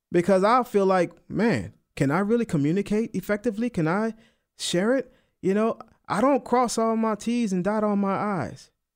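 Speaking at a moderate pace with a New Orleans accent, a man with a high pitch comes through on a very clean recording with a silent background. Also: ordinary pitch variation. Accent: New Orleans Southern US. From US South, New Orleans. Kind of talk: radio sermon/Bible teaching. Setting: radio studio. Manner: casual, uses filler like man and you know.

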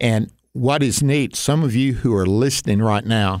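A man with an unremarkable speaking voice, medium pitch and ordinary pitch variation, on a very clean recording with a silent background. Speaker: radio host. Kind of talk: radio interview.

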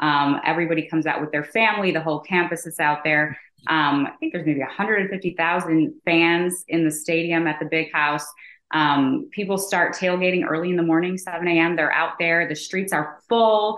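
Her American accent carries a fairly low pitch as this woman speaks at a moderate pace with fairly even intonation. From Chicago, US Midwest. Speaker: entrepreneur, company founder. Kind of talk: interview.

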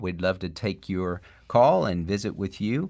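In a normal speaking voice, a man talks at a fairly slow pace with a fairly low pitch against a quiet background. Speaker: pastor. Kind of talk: call-in radio show. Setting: studio.

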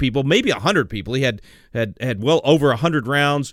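A man speaks with a Texan accent. His tone is animated. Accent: Texan Southern US. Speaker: radio host. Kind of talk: call-in radio show. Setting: studio.

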